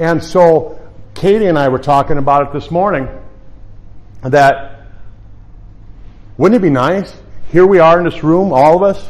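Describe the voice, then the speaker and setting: A man with an American accent talks at a moderate pace, with long, frequent pauses. His pitch is fairly high, with ordinary variation. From United States. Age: 50s. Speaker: health practitioner. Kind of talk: presentation. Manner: halting.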